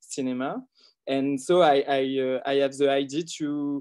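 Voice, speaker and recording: The speaker talks at a fairly slow pace in a French accent against a quiet background. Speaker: film director. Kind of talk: interview. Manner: halting.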